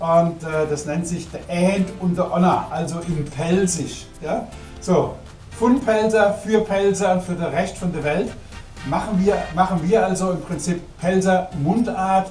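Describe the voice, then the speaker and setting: Music plays behind a man speaking very slowly. His voice is high, with fairly even intonation. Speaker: musician. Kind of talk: casual talk to camera.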